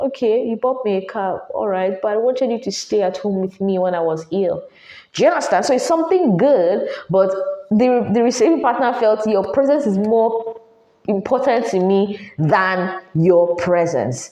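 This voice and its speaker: A woman with a dark, mellow tone and a fairly high pitch talks at a moderate pace with lively intonation. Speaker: podcast host. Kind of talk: advice monologue. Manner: animated.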